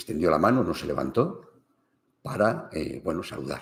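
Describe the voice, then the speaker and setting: This man speaks at a moderate pace with vocal fry and very wide pitch swings. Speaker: family business consultant. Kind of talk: livestream talk.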